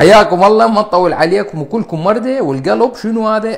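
A man with an Iraqi accent talks at a high pitch in an animated tone with lively intonation, against a quiet background. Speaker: cardiologist. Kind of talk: live stream health talk. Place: home room. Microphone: lapel.

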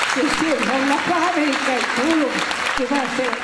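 A woman at a fairly slow pace amid loud background noise. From Argentina. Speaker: elderly guest being interviewed. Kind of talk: interview answer. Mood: earnest, wistful. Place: hall. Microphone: handheld.

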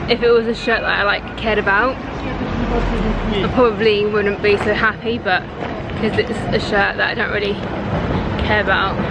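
A woman talks at a moderate pace with a dry sound and no echo while crowd noise fills the background. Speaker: vlogger. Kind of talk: casual vlog chat. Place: street. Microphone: phone near.

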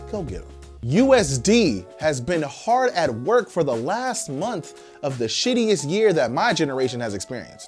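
Man speaking at a moderate pace with faint music in the background. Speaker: news show host. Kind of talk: commentary. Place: studio.

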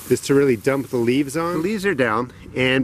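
Lively in intonation, a man speaks at a fairly quick pace in a dry sound with no echo, with light background noise. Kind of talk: tutorial. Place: garden.

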